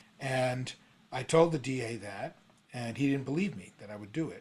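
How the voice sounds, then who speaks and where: A somewhat breathy man's voice at medium pitch with an American accent, ordinary pitch variation and a moderate pace. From New York City. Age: 60s. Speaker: songwriter and retired prosecutor's office worker. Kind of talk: interview conversation.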